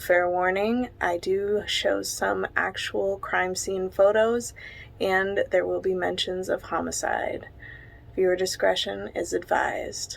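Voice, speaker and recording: Soft-spoken, a woman talks at a very slow pace. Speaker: true crime narrator. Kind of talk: true crime storytelling.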